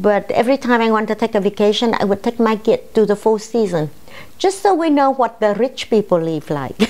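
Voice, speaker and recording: A woman's fairly high-pitched voice with a Vietnamese accent, lively intonation and a fairly quick pace. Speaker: salon owner and businesswoman. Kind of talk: personal testimony.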